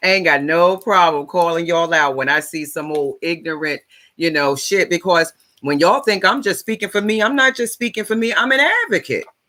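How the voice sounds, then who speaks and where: A loud, animated woman with a bright, sharp tone, fairly low pitch, lively intonation and a fairly quick pace. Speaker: life coach and advocate. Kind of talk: livestream monologue. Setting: live stream on social platforms.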